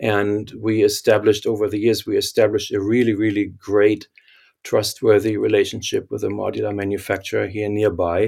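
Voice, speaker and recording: A man talks with a German accent at a fairly quick pace. The recording is very clean, with a silent background. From Germany. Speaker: architect and company founder. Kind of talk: interview.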